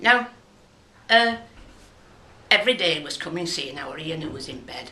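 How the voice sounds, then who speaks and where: With a Lancashire accent, a woman speaks in lively intonation over noticeable background noise and audible room echo. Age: 70s. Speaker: local resident sharing memories. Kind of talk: personal testimony.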